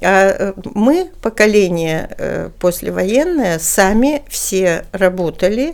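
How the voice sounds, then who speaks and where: The background is silent on this very clean recording. A woman speaks with very wide pitch swings. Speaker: human rights official, former politician. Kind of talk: interview.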